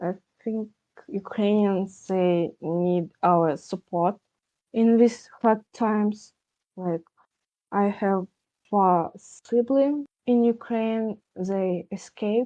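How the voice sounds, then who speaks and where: In a Russian accent, a woman with a medium pitch and a dark, mellow tone talks very slowly with long, frequent pauses and ordinary pitch variation. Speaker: podcast guest. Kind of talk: candid discussion. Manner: halting.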